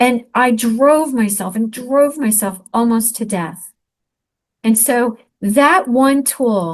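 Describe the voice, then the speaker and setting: Somewhat breathy female voice with an American accent and ordinary pitch variation, over a quiet background. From US Northeast, Elizabeth, New Jersey. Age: 60s. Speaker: author and speaker. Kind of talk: interview testimony.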